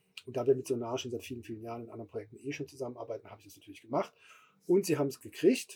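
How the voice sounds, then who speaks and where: This man talks at a very fast pace with a dark, mellow, somewhat breathy tone and ordinary pitch variation. His loudness swings widely. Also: medium pitch for a man. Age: middle-aged. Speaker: music festival co-founder. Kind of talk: casual chat. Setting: festival stage.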